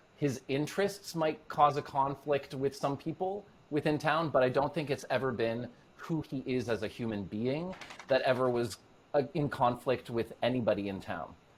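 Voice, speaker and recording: At a moderate pace, a man with a Canadian accent uses an ordinary speaking voice, medium pitch, and ordinary pitch variation. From Norway, raised in Canada. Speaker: actor. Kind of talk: casual interview chat.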